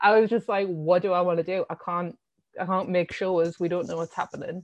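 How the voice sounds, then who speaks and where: The speaker has a Sunderland accent and fairly even intonation. The sound is dry and close with no echo, and the background is quiet. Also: woman. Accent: Sunderland (Mackem) northeast English. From northeast England, Sunderland. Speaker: art curator. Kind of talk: casual interview.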